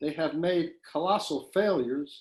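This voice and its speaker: The speaker is a man with a high pitch. He talks at a fairly slow pace. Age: 60s. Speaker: poet. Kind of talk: poetry reading.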